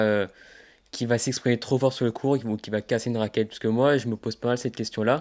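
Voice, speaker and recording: A man's medium-pitched voice at a very fast pace, with fairly even intonation, on a very clean recording with a silent background. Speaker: tennis podcast host. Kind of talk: casual interview. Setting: outdoors for the intro. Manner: hesitant with fillers.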